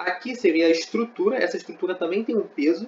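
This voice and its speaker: The speaker talks at a moderate pace. The pitch swings very widely. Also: man. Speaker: engineering student tutor. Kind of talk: lecture. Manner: conversational, frequent fillers.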